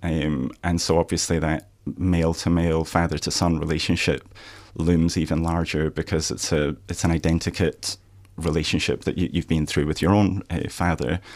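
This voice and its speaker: In a Scottish accent, a man with a very deep, low pitch speaks at a moderate pace with monotone, flat intonation. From Scotland, Aberdeen. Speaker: author. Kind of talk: radio interview. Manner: halting.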